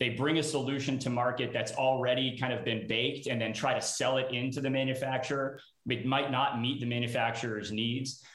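Amid noticeable background noise, a man speaks at a fairly quick pace with hardly any pauses, his medium pitch held in a monotone, flat intonation and his loudness very even. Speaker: startup CEO and co-founder. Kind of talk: live panel discussion. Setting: video call.

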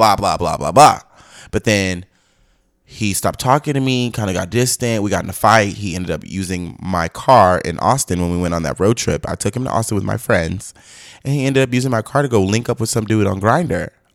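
A man with a normal speaking voice talks at a fairly quick pace in a fairly low pitch, recorded very cleanly against a silent background. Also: ordinary pitch variation. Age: 20s. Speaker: podcast guest, airport worker. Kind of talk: casual chat.

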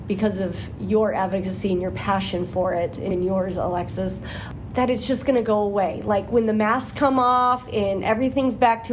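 A woman with a normal speaking voice talks at a fairly high pitch and a moderate pace. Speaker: school administrator and podcast co-host. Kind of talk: casual interview chat. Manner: laughs often.

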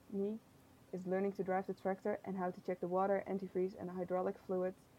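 At a very fast pace, a woman with a Dutch accent speaks in a monotone, flat intonation, her tone dark and mellow and her pitch medium. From Netherlands. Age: 20s. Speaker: tourism intern. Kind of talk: reading aloud.

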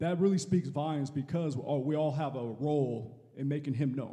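The voice has a dark, mellow tone, is somewhat breathy and shows ordinary pitch variation. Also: man. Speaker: church member. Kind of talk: panel testimony.

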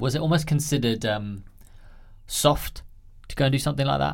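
Speaking at a fairly quick pace, a man with a London accent shows ordinary pitch variation. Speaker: podcast host. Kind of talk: casual chat.

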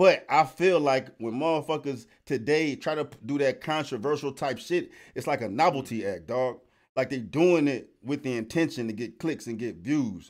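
A man with a normal speaking voice talks at a moderate pace in a fairly high pitch. His intonation is lively, and the recording is very clean with a silent background. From US West Coast. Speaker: rapper and podcast co-host. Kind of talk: casual chat.

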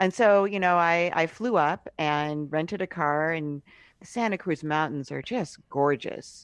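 A woman with an American accent and a plain, everyday voice speaks at a fairly slow pace, her fairly low pitch showing ordinary variation over a quiet background. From US Northeast (Cambridge, Massachusetts). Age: 50s. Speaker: podcast host and writer. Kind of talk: casual interview. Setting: remote call.

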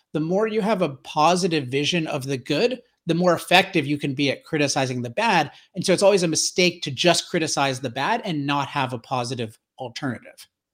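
A man with a plain, everyday voice, fairly high in pitch, with lively intonation and a fairly quick pace, on a very clean recording with a silent background. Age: 40s. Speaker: energy author and commentator. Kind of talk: interview conversation.

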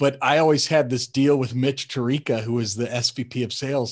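Against a quiet background, a man with an American accent talks in an unremarkable speaking voice at a fairly quick pace, his medium pitch showing ordinary variation. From Colorado, US. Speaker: sales podcast host, tech CEO. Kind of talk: casual interview chat.

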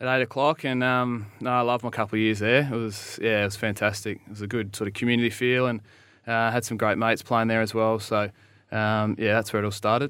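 Talking very fast with an Australian accent, a man keeps his intonation flat and monotone. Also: medium pitch for a man. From South Australia, Naracoorte. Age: 30s. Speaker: Australian rules footballer. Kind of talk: casual interview.

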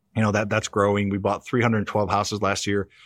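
A man with a Midwestern American accent at a very fast pace and fairly low pitch, dry and close with no echo, over a quiet background. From US Midwest (Missouri, near St. Louis). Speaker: real estate investor. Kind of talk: interview.

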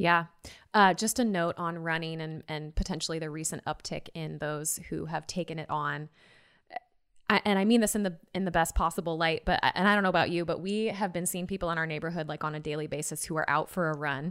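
A woman with an American accent and a normal speaking voice talks at a fairly quick pace with a fairly low pitch and fairly even intonation on a very clean recording with a silent background. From Seattle area, US. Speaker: podcast co-host. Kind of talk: interview.

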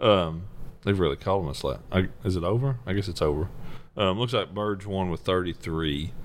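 A man with a Tennessee accent speaks at a moderate pace. His pitch is very deep and low, with ordinary variation. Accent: US Southern (Tennessee). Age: 30s. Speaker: professional bass angler. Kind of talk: casual interview.

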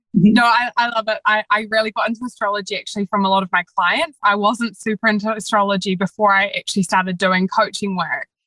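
The voice is bright and sharp, with ordinary pitch variation and a very fast pace. There are hardly any pauses, and the sound is dry and close with no echo. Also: woman, fairly high pitch for a woman. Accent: New Zealand. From New Zealand. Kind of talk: casual interview chat. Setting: remote recording.

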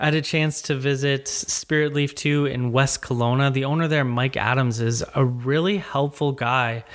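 A plain, everyday voice speaks in a Canadian accent. The loudness stays very even, with fairly even intonation and hardly any pauses. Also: man, fairly high pitch for a man, moderate pace. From Ontario, Canada. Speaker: podcast host. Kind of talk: interview; casual chat.

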